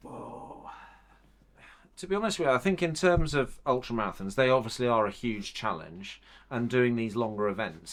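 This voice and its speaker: On a very clean recording with a silent background, a man talks at a moderate pace and medium pitch. He has an unremarkable speaking voice. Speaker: physiotherapist. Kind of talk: instruction to a client.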